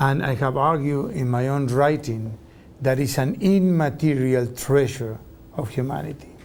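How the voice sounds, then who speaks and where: With a Spanish accent, a man speaks at fairly high pitch amid audible room echo. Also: ordinary pitch variation, moderate pace. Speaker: professor. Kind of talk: interview.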